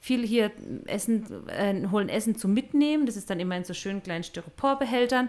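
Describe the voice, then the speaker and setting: Speaking at a fairly quick pace with a slight southwestern German accent, this voice shows ordinary pitch variation. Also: woman, fairly high pitch for a woman. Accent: mild southwestern German dialect. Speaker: missionary podcast co-host. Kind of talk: casual chat.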